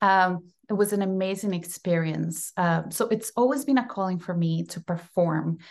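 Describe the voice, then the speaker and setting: A woman speaks with a Costa Rican accent at a moderate pace and medium pitch. Her pitch variation is ordinary, and the background is quiet. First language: Spanish. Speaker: actress. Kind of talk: casual interview.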